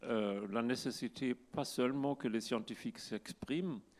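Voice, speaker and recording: A man with a German accent speaks at a medium pitch with ordinary pitch variation. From Germany. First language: German (speaking French). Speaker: climate scientist. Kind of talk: conference talk. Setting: stage with audience. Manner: halting.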